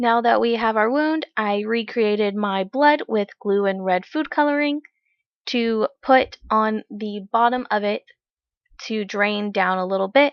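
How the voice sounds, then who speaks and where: At a fairly slow pace, a woman talks in a normal speaking voice that is fairly high, with ordinary pitch variation. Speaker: makeup tutorial creator. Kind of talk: tutorial.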